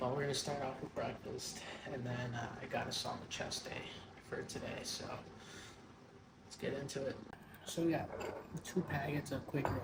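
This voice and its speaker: Amid noticeable background noise and audible room echo, a man talks at a moderate pace and medium pitch. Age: 20s. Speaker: amateur bodybuilder vlogger. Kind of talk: casual vlog. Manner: quiet.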